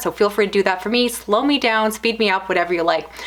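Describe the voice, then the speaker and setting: With noticeable background noise behind her, a woman talks at a very fast pace in a medium pitch with ordinary pitch variation. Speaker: book reviewer YouTuber. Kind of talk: casual vlog monologue.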